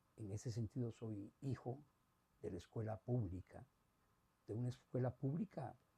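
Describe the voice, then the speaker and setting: A man with a Costa Rican accent speaks at a medium pitch with a dark, mellow, somewhat breathy tone. Long, frequent pauses break up his speech, and the sound is dry and close with no echo. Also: ordinary pitch variation, moderate pace. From Costa Rica, San José. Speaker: retired academic. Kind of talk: interview testimony. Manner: hesitant, many filler sounds.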